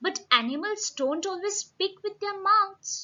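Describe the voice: A woman in a put-on character voice speaks at a fairly slow pace with an extremely high pitch.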